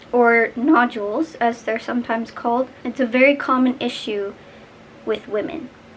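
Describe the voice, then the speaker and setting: Moderate speed and a fairly flat, even melody, set against noticeable noise in the background. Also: woman, high pitch for a woman. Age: young. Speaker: vlogger. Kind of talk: personal vlog. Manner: casual, chatty.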